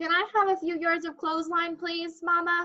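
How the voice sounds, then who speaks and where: A woman uses a put-on character voice with an extremely high pitch. Her intonation is monotone and flat at a moderate pace. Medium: read story.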